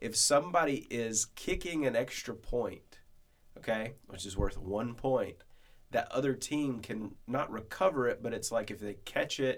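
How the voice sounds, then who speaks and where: The man uses an ordinary speaking voice, pitched in the medium range, and keeps a moderate tempo. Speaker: podcast host, church minister. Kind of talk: casual chat, podcast.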